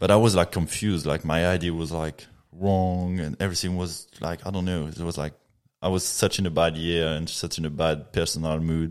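Very deep, low-pitched man with a French accent, monotone and flat in intonation, at a fairly quick pace. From Reunion Island. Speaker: professional mountain biker. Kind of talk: casual podcast interview. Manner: laid back, chilled.

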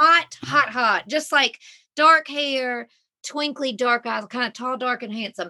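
A woman with a Southern US accent speaks at a fairly slow pace in a high, bright, sharp voice, her loudness swinging widely while her pitch varies in an ordinary way. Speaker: mother and reality TV star. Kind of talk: casual chat.

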